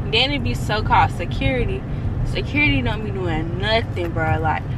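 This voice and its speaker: Loud background noise accompanies a woman speaking at a moderate pace, the sound itself dry with no echo. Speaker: college vlogger. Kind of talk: casual vlog chat. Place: car. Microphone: phone near.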